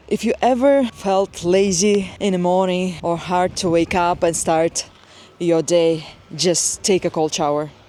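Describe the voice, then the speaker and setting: A woman speaks with a non-native accent at a medium pitch. Her pace is fairly slow. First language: not English. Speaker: lifestyle vlogger, IT worker. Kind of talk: casual vlog monologue. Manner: casual, with fillers and hesitations.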